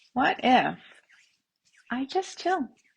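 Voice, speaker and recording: With lively intonation, a woman delivers her words in a somewhat breathy voice. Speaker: tapping and self-havening coach. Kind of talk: guided tapping session, live-stream style. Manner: upbeat, friendly, conversational.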